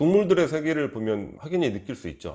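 Over a quiet background, a man speaks with vocal fry and very wide pitch swings. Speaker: book review YouTuber. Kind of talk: book review monologue.

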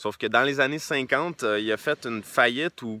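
A man in a Quebec accent speaks with lively intonation and a bright, sharp tone, in a dry sound with no echo. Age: 20s. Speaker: entrepreneur and book reviewer; book reviewer. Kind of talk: casual book review monologue. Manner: hesitant with many repeated words and fillers. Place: open country. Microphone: phone near.

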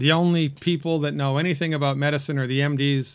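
Over a quiet background, a man speaks fairly quickly in a monotone, flat way. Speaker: health commentator. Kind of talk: opinion commentary to camera. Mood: critical, persuasive.

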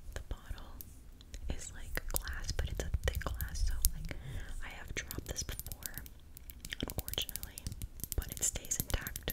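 A woman whispering with long, frequent pauses. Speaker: ASMR creator. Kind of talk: ASMR product show and tell. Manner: whispered; slow. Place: home room. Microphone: studio mic.

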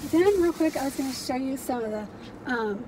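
A woman talks at a very fast pace in a high voice. The sound is dry with no echo, and there is light background noise. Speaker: reseller vlogger. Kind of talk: casual vlog chat. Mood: cheerful, chatty. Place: car. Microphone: phone near.

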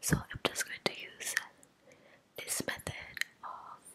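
A woman is heard here. She whispers. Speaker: ASMR creator. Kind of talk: casual vlog chat. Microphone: studio mic.

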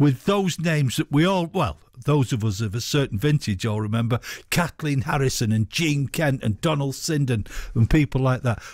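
A man speaks in a Mancunian accent with lively intonation and an enthusiastic tone. The sound is dry, with no echo. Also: quiet background. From northern England. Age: 60s. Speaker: radio host. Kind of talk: radio show. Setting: studio. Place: studio.

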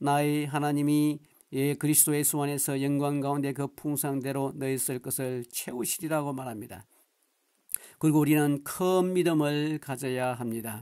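A man's fairly high-pitched voice with a dark, mellow tone and fairly even intonation, at a moderate pace on a very clean recording with a silent background. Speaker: pastor. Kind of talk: sermon.

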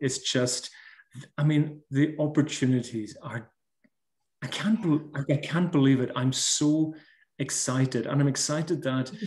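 In a Hebridean accent, a man speaks at a fairly slow pace with long, frequent pauses. His voice is somewhat breathy. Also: ordinary pitch variation. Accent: Scottish Hebridean. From Scotland. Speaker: baker and social media creator; social media creator. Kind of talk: casual interview. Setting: video call. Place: home room. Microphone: video call.

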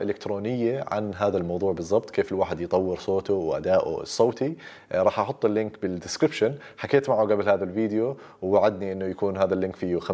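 A man with a Jordanian accent speaks in a dark, mellow tone at a fairly low pitch and fairly quick pace, with ordinary pitch variation over a quiet background. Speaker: doctor and YouTuber; YouTuber. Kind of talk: casual Q&A monologue. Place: home room.

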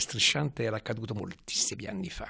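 A man talks at a fairly quick pace. His pitch swings very widely against a quiet background. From Tuscany, Florence. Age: 90s. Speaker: retired hospital physician; interviewee, professor. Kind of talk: interview testimony. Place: home room. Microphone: handheld.

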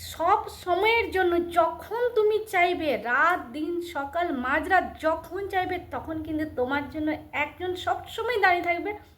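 With an extremely high pitch and ordinary pitch variation, a woman talks in a room with audible echo. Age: 60s. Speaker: lifestyle vlogger. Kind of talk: casual vlog talk to camera and chat with voice assistant.

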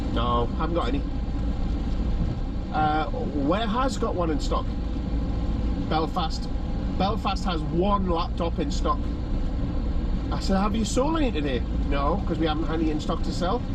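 Dry sound with no echo, a moderate pace broken by long, frequent pauses, and loud background noise. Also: man. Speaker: vlogger. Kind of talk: casual vlog chat, retelling a story. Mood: exasperated, sarcastic. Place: car. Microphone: phone near.

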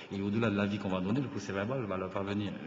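A man talks very fast over noticeable background noise, with audible echo in the room. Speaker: government minister. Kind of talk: formal assembly debate. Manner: halting, many hesitations.

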